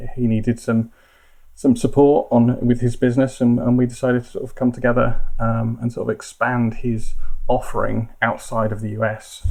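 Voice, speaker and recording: His tone is dark and mellow, at a medium pitch. The man keeps a moderate pace with monotone, flat intonation. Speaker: tax adviser. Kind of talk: interview. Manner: hesitant, many fillers and repetitions.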